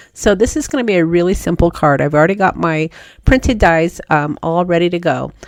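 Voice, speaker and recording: A woman's very fast speech, fairly low in pitch with ordinary pitch variation. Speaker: card-making crafter. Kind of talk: tutorial.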